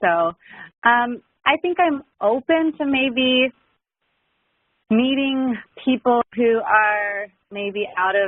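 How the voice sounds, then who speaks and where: Speaking very slowly with long, frequent pauses, a woman uses a high pitch and lively intonation. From Southern California. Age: 20s. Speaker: client in matchmaking assessment. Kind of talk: interview.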